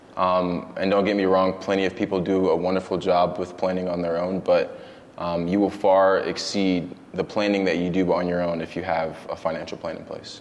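A man talks at a moderate pace in a very deep, low voice with monotone, flat intonation. There is noticeable background noise. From Brooklyn, New York; moved to Georgia at 12. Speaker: financial planner. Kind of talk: casual interview.

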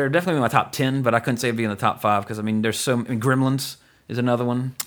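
Speaking at a very fast pace, a man with a Louisiana accent uses a medium pitch and an animated tone. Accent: Southern US, Louisiana. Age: 30s. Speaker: podcast host. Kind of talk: casual chat, podcast discussion. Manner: animated, jokey.

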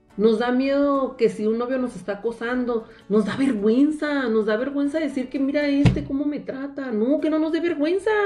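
The speech moves at a moderate pace with hardly any pauses and ordinary pitch variation over noticeable background noise. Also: woman, high pitch for a woman. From Mexicali Valley, Baja California, Mexico. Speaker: lawyer and teacher. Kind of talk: interview on women's rights.

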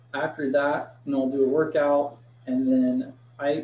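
A man with a fairly high-pitched voice talks against noticeable background noise. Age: 30s. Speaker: supplement company product expert. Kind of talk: casual chat.

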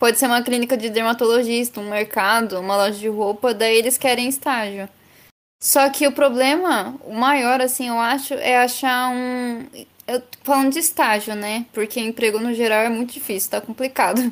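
The woman's voice is high, and her pace is moderate. The recording is very clean, with nothing heard in the background. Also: fairly even intonation. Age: 20s. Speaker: advertising student and intern. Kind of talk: casual chat.

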